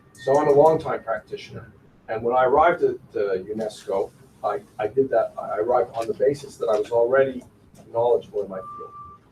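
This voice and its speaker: A man at a fairly quick pace, against noticeable background noise. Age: 60s. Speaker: futures researcher. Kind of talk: panel discussion; storytelling. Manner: halting, with many repeated words.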